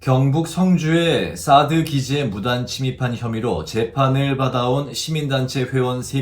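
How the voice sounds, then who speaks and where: A man with a medium pitch and a somewhat breathy voice speaks at a very slow pace. His intonation is lively. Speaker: news announcer. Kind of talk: TV news reading.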